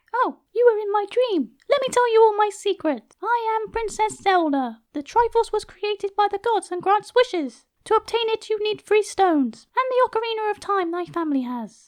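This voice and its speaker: This is a squeaky, put-on character voice. It moves at a moderate pace with hardly any pauses. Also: female-sounding voice, extremely high pitch for a woman. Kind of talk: comic parody dub. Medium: machinima. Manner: quick, breezy.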